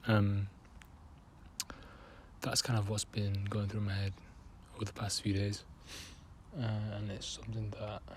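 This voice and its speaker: Flat, monotone delivery from a man with a fairly low pitch, over noticeable background noise. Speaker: artist. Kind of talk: casual talk to camera. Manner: hesitant, many fillers.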